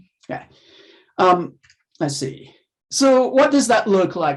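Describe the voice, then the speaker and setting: A man with a slight non-native accent speaks with lively intonation. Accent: near-native English, slight non-native. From Haiti. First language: French or Haitian Creole. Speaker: professor. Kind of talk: lecture. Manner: halting, many fillers.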